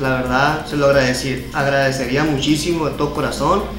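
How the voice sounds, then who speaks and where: Clear music plays in the background as a man talks with fairly even intonation. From Navojoa, Sonora, Mexico. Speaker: amateur announcer, live streamer. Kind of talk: interview answer. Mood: earnest, appealing for help. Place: home room. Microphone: handheld.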